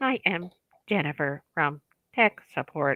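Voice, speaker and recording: This put-on character voice sounds robotic, pitched in the middle range. The delivery moves at a fairly slow pace. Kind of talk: scripted customer-service.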